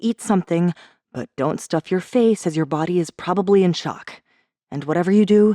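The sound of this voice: The voice is an unforced reading voice. Its pitch varies in an ordinary way over a quiet background.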